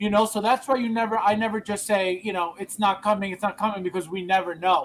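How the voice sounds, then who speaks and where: Loud and high-pitched, a man speaks. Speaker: collectibles livestream host. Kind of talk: casual chat. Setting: livestream. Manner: animated.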